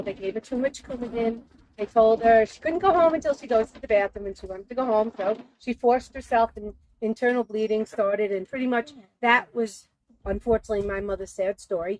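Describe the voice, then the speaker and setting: With an unremarkable speaking voice, a woman talks at a fairly quick pace in a fairly high pitch, with ordinary pitch variation and big swings in loudness. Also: dry, close sound with no echo. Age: 60s. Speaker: weight loss story guest. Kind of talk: personal testimony and tips. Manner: casual, conversational.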